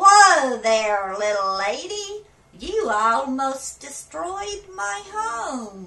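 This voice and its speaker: A woman's put-on character voice, high-pitched and very slow, with very wide pitch swings. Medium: read story. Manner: folksy, grumbling.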